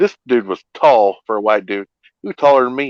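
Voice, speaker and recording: A man with an American accent speaks at a fairly slow pace in a medium pitch, his intonation lively and the sound dry and close with no echo. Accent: twang. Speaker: livestream host. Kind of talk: casual chat.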